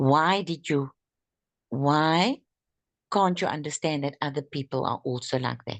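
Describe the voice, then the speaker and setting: A woman with a non-native accent speaks in a very deep, low voice at a fairly slow pace, with ordinary pitch variation and long, frequent pauses. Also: quiet background. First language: not English. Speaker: network marketing distributor. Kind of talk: group training discussion. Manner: halting.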